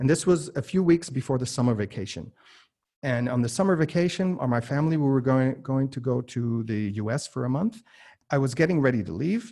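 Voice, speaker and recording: With an American accent, a man talks at a fairly quick pace in a dark, mellow, somewhat breathy tone, his intonation lively, recorded very cleanly against a silent background. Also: medium pitch for a man. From US and Germany. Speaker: entrepreneur and podcast host. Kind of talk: interview. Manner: many filler words and repetitions.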